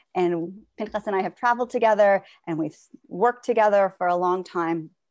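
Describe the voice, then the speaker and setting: Over a quiet background, a woman talks at a fairly quick pace with ordinary pitch variation. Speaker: Holocaust memoir program director. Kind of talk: introduction speech. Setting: video call. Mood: earnest, reflective. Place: home room. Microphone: earbuds.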